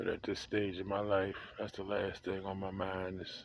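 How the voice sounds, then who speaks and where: A man's fairly low, flat monotone at a moderate pace. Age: 60s. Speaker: vlogger. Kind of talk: casual monologue. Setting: outdoors on a porch.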